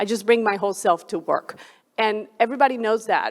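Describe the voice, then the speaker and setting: A woman speaks with a Colombian accent in a fairly high voice with fairly even intonation. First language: Spanish. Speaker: flight director. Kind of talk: panel discussion.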